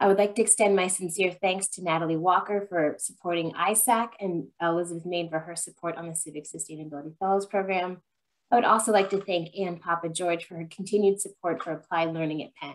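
A woman speaks very fast at a fairly low pitch. Her intonation is fairly even against a quiet background. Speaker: program host. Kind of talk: prepared presentation introduction. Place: home room. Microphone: webcam.

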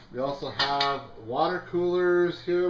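Light background noise and audible room echo surround a man speaking at a fairly high pitch. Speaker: auctioneer. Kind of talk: casual product walkthrough commentary. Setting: in-person at the auction house, walking around the items. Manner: casual and jokey, with some filler words. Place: shop. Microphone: phone near.

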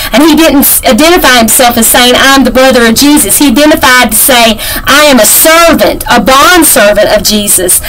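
Over light background noise, a woman speaks at a moderate pace in a high pitch with ordinary pitch variation. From Kentucky. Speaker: devotional teacher. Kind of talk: devotional Bible teaching. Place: home room. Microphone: webcam.

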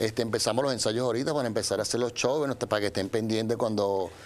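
Someone with a Venezuelan accent speaks at a fast pace with ordinary pitch variation over faint background noise. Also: man, fairly low pitch for a man.

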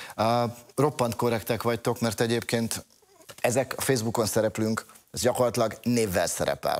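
Against a quiet background, a man with a medium pitch speaks at a fairly quick pace. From Hungary. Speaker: Roma affairs expert. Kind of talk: TV panel discussion. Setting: studio. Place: studio. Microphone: lapel.

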